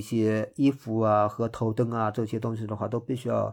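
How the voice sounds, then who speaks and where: Set against a silent background in a very clean recording, a man's dark, mellow voice sits at a medium pitch and moves at a moderate pace. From Hangzhou, Zhejiang. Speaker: trail runner. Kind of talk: interview. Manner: hesitant, many fillers.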